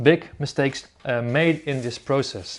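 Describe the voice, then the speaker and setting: The man here has a fairly high pitch. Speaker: archaeologist presenting research. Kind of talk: recorded conference presentation. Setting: at home. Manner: fast; halting, many fillers and repeats.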